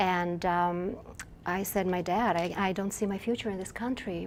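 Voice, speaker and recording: A woman speaks at a medium pitch and moderate pace. Her intonation stays fairly even over noticeable background noise. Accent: Russian. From Russia (Moscow). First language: Russian. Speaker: novelist. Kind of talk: interview. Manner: halting, with many fillers and restarts.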